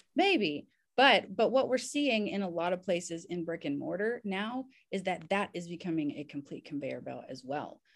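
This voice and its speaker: In a very clean recording with a silent background, a woman speaks at a moderate pace with very wide pitch swings. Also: medium pitch for a woman. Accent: Southern US. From US South, Kentucky and Indiana. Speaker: physician and army veteran. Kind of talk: interview.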